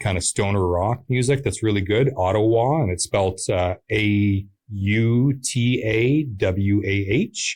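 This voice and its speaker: Against a silent background on a very clean recording, a man speaks at a fairly low pitch with ordinary pitch variation and a somewhat breathy quality. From Pembroke, Ontario, Canada. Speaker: musician. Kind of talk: interview. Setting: studio. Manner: hesitant with many fillers.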